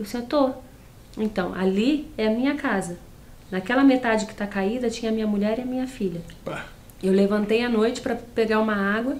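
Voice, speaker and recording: Talking fairly quickly with ordinary pitch variation, a woman leaves long, frequent pauses. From Nova Friburgo, Rio de Janeiro state, Brazil. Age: 30s. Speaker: interview guest. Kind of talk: casual interview. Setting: TV studio. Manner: relaxed, chatty, laughs often. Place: studio.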